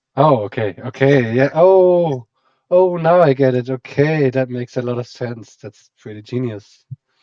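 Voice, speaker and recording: A man with a German accent and medium pitch, at a fairly slow pace, with ordinary pitch variation and big swings in loudness. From German-speaking Europe. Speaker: game commentator. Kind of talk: live commentary.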